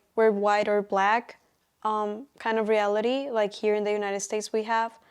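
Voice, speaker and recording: At a moderate pace, a woman talks in a flat monotone with a Colombian accent. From Colombia, Bogota. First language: Spanish. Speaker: college student. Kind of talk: interview answers. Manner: hesitant, many fillers.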